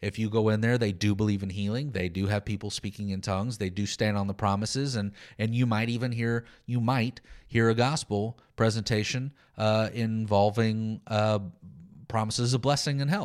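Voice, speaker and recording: With an American accent and a normal speaking voice, a man speaks at a fairly low pitch and a moderate pace. His intonation is fairly even, and the recording is very clean with a silent background. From Texas. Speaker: pastor and podcast host. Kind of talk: solo podcast teaching monologue.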